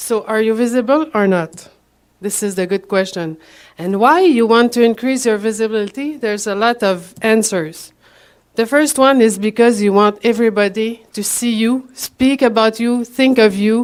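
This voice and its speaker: A woman with a Quebec accent and a fairly high pitch. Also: ordinary pitch variation, moderate pace. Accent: Québécois French accent in English. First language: French. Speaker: promotional products professional, conference speaker. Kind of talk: conference presentation. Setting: stage with audience. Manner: halting.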